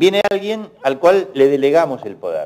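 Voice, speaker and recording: A man at a very slow pace. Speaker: economist. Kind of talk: panel Q&A.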